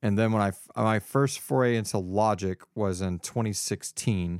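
A man's normal speaking voice with an American accent, fairly low-pitched and fairly even in intonation, at a moderate pace, in a dry, close sound with no echo and a very clean recording with a silent background. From Texas, Houston area. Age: 30s. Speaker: voice actor and podcaster. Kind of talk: casual chat.

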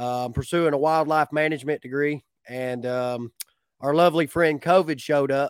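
This man has a strong Appalachian accent, a fairly high pitch, a relaxed tone and fairly even intonation, all heard in a dry, close sound with no echo. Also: moderate pace. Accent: Southern Appalachian, fairly strong. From north Georgia Appalachia, US. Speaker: beekeeper, sideline bee business owner. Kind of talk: casual interview chat. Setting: video call online. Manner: relaxed, folksy.

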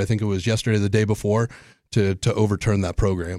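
On a very clean recording with a silent background, a man with an American accent speaks with fairly low pitch, a dark, mellow tone and fairly even intonation. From Los Angeles, California. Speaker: city council candidate and aerospace site director. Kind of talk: radio interview. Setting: radio studio.

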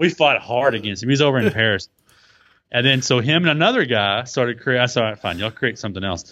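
Talking at a very fast pace, a man with a Texan accent speaks at a medium pitch. His pitch variation is ordinary. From Texas. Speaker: blogger and podcaster. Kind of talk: casual interview chat.

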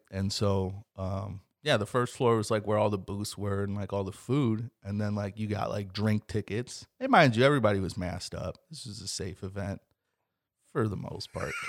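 Recorded very cleanly against a silent background, a normal speaking voice shows ordinary pitch variation. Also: man, fairly low pitch for a man, moderate pace. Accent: American. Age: 20s. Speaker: podcast host. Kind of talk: casual chat. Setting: home closet studio.

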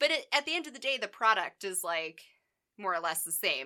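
A woman's bright, sharp, animated voice, fairly quick, with very wide pitch swings. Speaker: podcast co-host. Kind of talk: casual banter, sarcastic chat. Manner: animated, joking.

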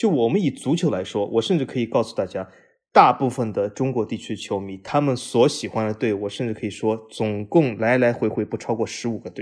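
Against a quiet background, a man talks at a fairly quick pace in an ordinary speaking voice, with a medium pitch and ordinary pitch variation. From Shanghai. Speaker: football podcast host. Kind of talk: casual interview.

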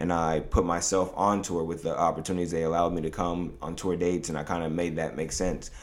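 With an American accent and a very deep, low pitch, a man rattles along at a very fast pace in a flat monotone, hardly pausing, amid audible room echo. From New York. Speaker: clothing brand founder. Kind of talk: casual interview.

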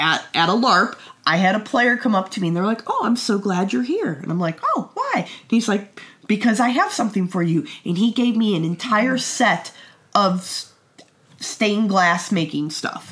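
An unremarkable speaking voice moves at a moderate pace. Its intonation is lively. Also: woman. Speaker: podcast co-host, game runner. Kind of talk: casual chat.

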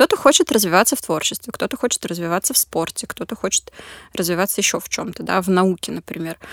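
On a very clean recording with a silent background and a dry, close sound with no echo, a woman uses an ordinary speaking voice at a fairly quick pace with ordinary pitch variation. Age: 20s. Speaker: social psychologist at a charity. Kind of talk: casual interview. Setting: studio.

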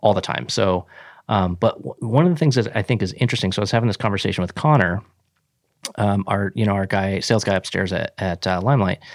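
A man with a fairly low pitch has a plain, everyday voice. His pitch varies in an ordinary way, in a very clean recording with a silent background. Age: 40s. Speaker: podcast host and software business owner. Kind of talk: casual interview; scripted outro.

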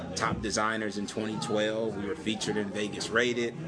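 With an American accent and fairly low pitch, a man talks at a moderate pace with fairly even intonation, amid noticeable background noise and audible room echo. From Michigan, Saginaw. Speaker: entrepreneur. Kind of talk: interview. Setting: coffee shop.

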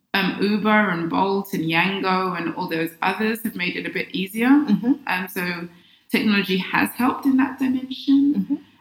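A woman with a medium pitch and lively intonation talks at a moderate pace over noticeable background noise. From London, England. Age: 40s. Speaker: personal development coach. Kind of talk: casual interview. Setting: in-person studio.

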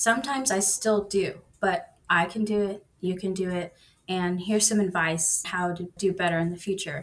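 With an American accent, a woman speaks in an unremarkable speaking voice at a moderate pace, with a medium pitch and fairly even intonation. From Texas. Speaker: online coding student. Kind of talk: casual interview.

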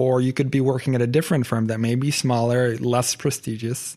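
A man with an Arabic accent, fairly quick pace and monotone, flat intonation, in a very clean recording with a silent background. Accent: Arabic-tinged English. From Saudi Arabia (Jeddah). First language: Arabic (bilingual with English). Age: 20s. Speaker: architect. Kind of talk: casual interview chat.

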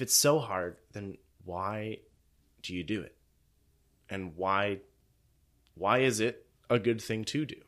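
A man's fairly low voice at a fairly slow pace, with ordinary pitch variation, big swings in loudness and long, frequent pauses, on a very clean recording with a silent background. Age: 20s. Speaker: church podcast host. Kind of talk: casual chat.

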